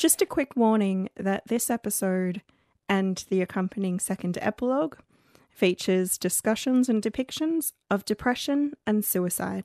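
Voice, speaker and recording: With an Australian accent, a woman talks at a moderate pace and medium pitch, her intonation lively and the sound dry and close with no echo. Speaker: podcast host. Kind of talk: casual, conversational.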